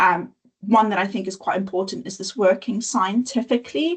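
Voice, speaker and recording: A woman with a somewhat breathy, medium-pitched voice talks at a moderate pace with ordinary pitch variation. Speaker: nature education presenter. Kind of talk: webinar presentation.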